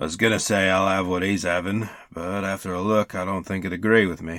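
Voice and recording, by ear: A man puts on a character voice that is gravelly and very deep in pitch. He talks at a fairly quick pace with monotone, flat intonation.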